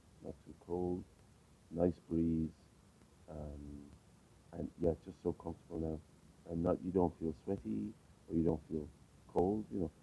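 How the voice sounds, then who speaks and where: A man's very deep, low voice, somewhat breathy, at a fairly slow pace with long, frequent pauses. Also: ordinary pitch variation, big swings in loudness. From Ireland, County Clare. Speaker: interviewee. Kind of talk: casual interview. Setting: outdoors on a street. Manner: hesitant, many fillers.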